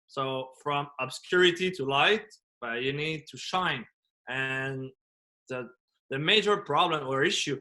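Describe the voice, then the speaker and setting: A man's bright, sharp tone with ordinary pitch variation at a moderate pace, over a quiet background. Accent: French. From France. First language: French. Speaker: business coach and motivational speaker. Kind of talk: podcast interview. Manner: animated.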